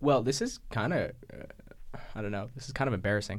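Vocal fry colors this man's voice. He speaks at a moderate pace. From New Mexico, Taos. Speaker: student musician and poet. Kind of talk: casual interview.

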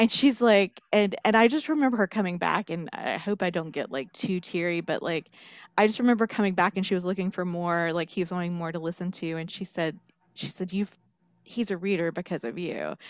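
Talking at a fairly quick pace, a woman with an American accent uses a medium pitch and ordinary pitch variation. The background is quiet, and the sound is dry and close with no echo. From Western North Carolina. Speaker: children's librarian. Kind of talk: interview. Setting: recorded interview. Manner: halting, many fillers.

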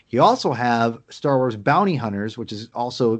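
With an unremarkable speaking voice, a man talks at medium pitch and a moderate pace, using ordinary pitch variation against a quiet background. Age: 30s. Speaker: podcast co-host. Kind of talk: casual chat.

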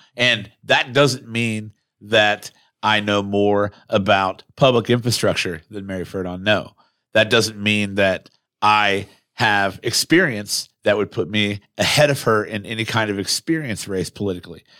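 Speaking with an American accent, a man with a fairly low pitch and a bright, sharp tone talks at a fairly slow pace with fairly even intonation on a very clean recording with a silent background. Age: 20s. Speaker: podcast co-host and mayoral candidate. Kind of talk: casual chat. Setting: studio.

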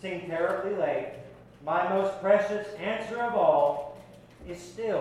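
The voice reads aloud in a natural way, with ordinary pitch variation.

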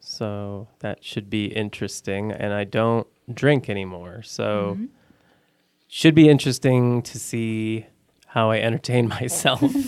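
In an American accent, a man with an unremarkable speaking voice talks at a fairly slow pace and medium pitch, with ordinary pitch variation and big swings in loudness. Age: 30s. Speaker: blind date guest. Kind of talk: casual chat. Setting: studio.

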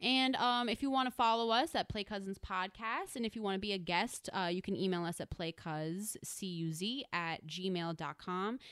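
At a moderate pace with hardly any pauses, a woman uses a normal speaking voice at medium pitch with ordinary pitch variation. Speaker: podcast host. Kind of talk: casual chat. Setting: studio.

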